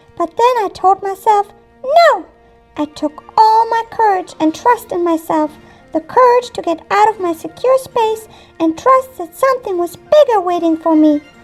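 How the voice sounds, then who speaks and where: A female-sounding cartoonish character voice at an extremely high pitch goes at a moderate pace over faint music in the background. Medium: puppet.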